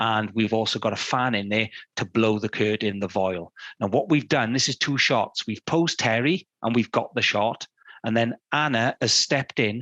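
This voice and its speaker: A man's medium-pitched voice with a British accent, bright and sharp in tone, at a moderate pace, dry and close with no echo. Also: ordinary pitch variation. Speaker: fine art photographer giving a talk. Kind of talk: illustrated talk. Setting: studio.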